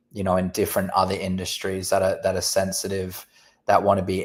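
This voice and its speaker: A man speaks with an Australian accent at a very deep, low pitch. The recording is very clean, with a silent background. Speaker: company representative. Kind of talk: casual chat.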